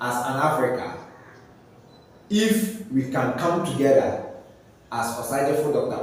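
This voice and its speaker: There is noticeable background noise and audible room echo. A man speaks fairly slowly at a fairly high pitch with lively intonation. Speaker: commentary video host. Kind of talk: social commentary monologue.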